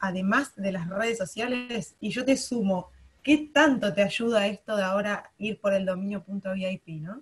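A woman's medium-pitched, somewhat breathy voice at a moderate pace with ordinary pitch variation. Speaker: workshop moderator. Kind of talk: Q&A moderation.

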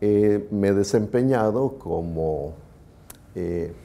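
A man talks with fairly low pitch in a dark, mellow tone. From El Salvador, San Miguel; El Salvador. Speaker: lawyer, judicial candidate; candidate. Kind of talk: interview. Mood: calm, formal, measured. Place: hall. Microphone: lapel.

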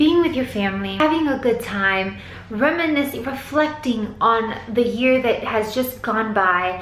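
A woman speaks at a fairly slow pace in a high pitch. Audible room echo is present. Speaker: vlogger. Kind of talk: casual vlog chat. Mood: relaxed, advice-giving. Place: home room. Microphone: phone near.

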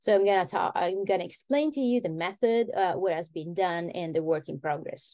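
With an Italian accent and a dark, mellow tone, a woman speaks at a fairly quick pace with ordinary pitch variation, the sound dry with no echo and the background quiet. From Italy. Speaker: astrophysics PhD student; guest. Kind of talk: lecture. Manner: halting. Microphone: webcam.

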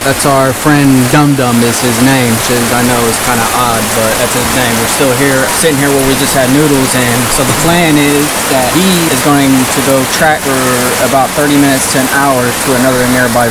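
The sound is dry with no echo as a man talks at a moderate pace amid loud background noise. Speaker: travel vlogger. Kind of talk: casual vlog chat. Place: tent. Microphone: phone near.

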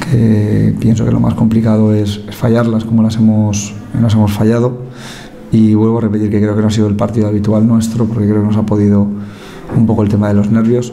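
A man's fairly low, monotone voice with flat intonation, very even loudness, a fairly quick pace and light background noise. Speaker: football coach. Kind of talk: press conference answer. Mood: frustrated after a loss. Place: meeting room. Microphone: podium.

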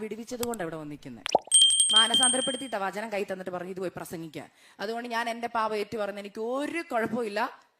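A woman speaks in an animated tone with lively intonation. Noticeable background noise runs underneath. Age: 30s. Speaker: guest preacher. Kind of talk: sermon with personal testimony. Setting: church.

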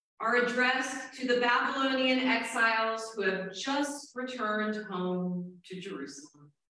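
In a room with strong echo, a woman speaks at a fairly slow pace in a fairly high voice with ordinary pitch variation. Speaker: Presbyterian minister. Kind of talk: sermon. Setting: church. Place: church.

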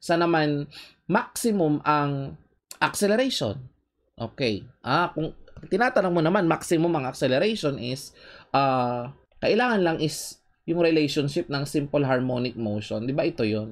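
On a very clean recording, the background silent, someone talks fairly slowly. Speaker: engineering lecturer. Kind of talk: lecture.

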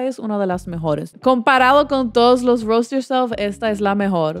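Speaking at a fairly slow pace, a woman sounds animated, with lively intonation. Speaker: YouTuber. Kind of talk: casual commentary video. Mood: playful, opinionated. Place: home room. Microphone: handheld.

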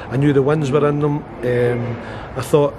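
A man talks fairly quickly while noticeable background noise plays behind him. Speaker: football head coach. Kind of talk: interview answer. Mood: pleased after a win. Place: stadium. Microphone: lapel.

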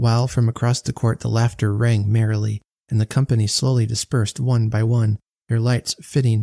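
This is plain reading aloud with fairly even intonation. It is heard over a quiet background.

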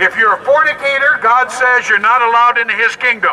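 In a raised, projected voice, a man speaks at an extremely high pitch. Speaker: street preacher. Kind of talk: street preaching sermon delivered to passersby. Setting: outdoors on a public street. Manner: forceful, declamatory, admonishing. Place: street.

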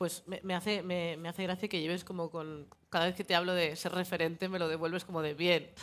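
Hardly pausing, a woman talks at a fairly quick pace in a fairly low pitch with monotone, flat intonation. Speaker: comedian and interviewer. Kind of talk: live interview before audience. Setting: store event with live audience.

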